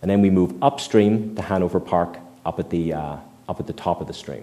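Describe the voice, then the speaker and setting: Talking at a fairly quick pace, a man has a fairly low pitch and a dark, mellow tone. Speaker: environmental scientist giving a public talk; presenter. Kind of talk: public presentation with Q&A. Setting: meeting room with live audience. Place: hall.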